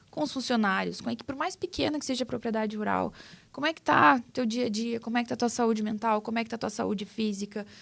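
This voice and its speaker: Someone speaks very fast with a southern Brazilian accent. The recording is very clean, with a silent background. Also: woman, fairly high pitch for a woman, ordinary pitch variation. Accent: gaúcho Brazilian Portuguese. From southern Brazil, Rio Grande do Sul (Cruz Alta). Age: 30s. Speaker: farmer and agribusiness communicator. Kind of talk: podcast interview.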